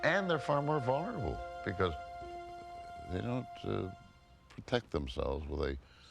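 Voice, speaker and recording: Music plays behind the speaker, a man. Long, frequent pauses break up his speech. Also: moderate pace. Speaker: actor. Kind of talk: interview answer. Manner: quiet, hesitant.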